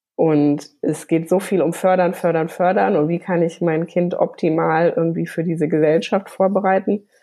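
A woman with a fairly low pitch talks at a moderate pace with hardly any pauses, keeping her loudness very even and her intonation fairly even. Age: 30s. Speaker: graphic designer and children's art teacher. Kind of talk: interview. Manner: hesitant with fillers.

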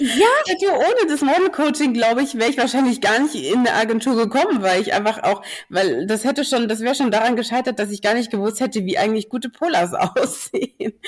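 This woman talks at a fairly quick clip with a high voice. She hardly pauses at all. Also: lively intonation. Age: 20s. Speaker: curvy model. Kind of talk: casual chat.

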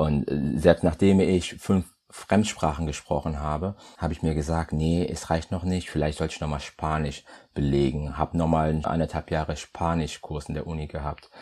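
A man's very deep, low voice, flat and monotone, at a fairly quick pace. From Germany, Düren area (Rhineland), came from Congo via Portugal aged 10-11. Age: 30s. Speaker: chemist and business development manager. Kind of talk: podcast interview.

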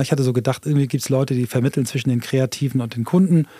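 Speaking very fast, a man keeps a medium pitch and fairly even intonation. His tone is dark and mellow, and the sound is dry and close with no echo. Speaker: entrepreneur and new work expert. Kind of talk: casual interview conversation.

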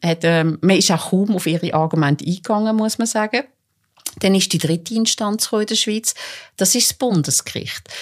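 A woman speaks at a moderate pace in a plain, everyday voice, medium in pitch with ordinary pitch variation, on a very clean recording with a silent background. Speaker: court reporter. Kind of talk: casual chat. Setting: studio.

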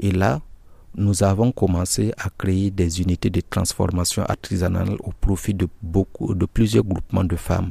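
A man's very deep, low voice, dark, mellow and somewhat breathy, at a fairly slow pace with fairly even intonation and a dry, close sound with no echo. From Burkina Faso. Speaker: NGO project coordinator, agronomist. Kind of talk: interview. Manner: halting, with repetitions.

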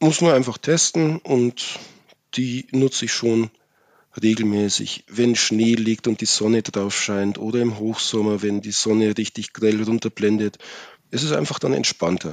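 A man talks at a fairly slow pace in a plain, everyday voice, medium in pitch with ordinary pitch variation. The sound is dry and close, with no echo. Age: 30s. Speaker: master electrician with a rare eye disease. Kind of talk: interview about personal experience.

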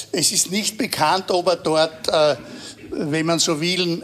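A man with a high voice talks very slowly, his intonation fairly even throughout. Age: 80s+. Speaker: veteran political journalist. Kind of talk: live panel discussion.

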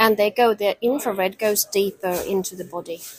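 A woman with a Norwegian accent speaks at a medium pitch with ordinary pitch variation. The sound is dry and close with no echo, but background noise is noticeable. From Norway. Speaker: company founder and dressage rider. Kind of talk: interview.

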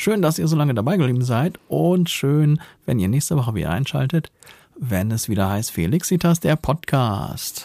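A man talks at a moderate pace, his pitch swinging very widely. His tone is dark and mellow and somewhat breathy. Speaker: podcast co-host. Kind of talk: casual chat.

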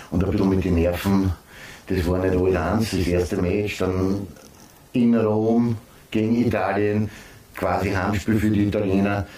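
A man's fairly low, flat monotone voice, very even in loudness, with long, frequent pauses. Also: fairly slow pace. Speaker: former footballer and football pundit. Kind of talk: casual chat.

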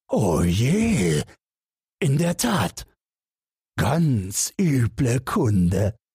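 Putting on a character voice, a man of medium pitch speaks at a very slow pace with a slightly mellow tone, a husky, rough edge and big pitch swings.

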